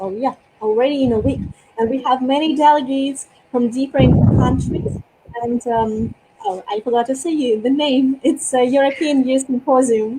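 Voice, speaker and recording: A woman with a Russian accent speaks at a high pitch and a moderate pace, her intonation fairly even. Noticeable background noise sits behind her. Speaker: youth leader and public speaker. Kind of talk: interview.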